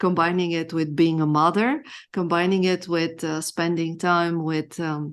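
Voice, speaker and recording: Against a quiet background, a woman with a Bulgarian accent talks at a fairly slow pace, with fairly low pitch and fairly even intonation. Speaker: femininity coach. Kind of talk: interview. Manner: halting.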